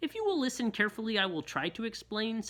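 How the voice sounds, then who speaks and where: Someone rattles off lines at a very fast pace in a fairly high-pitched, put-on character voice. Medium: read story. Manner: ungrammatical, full of made-up words.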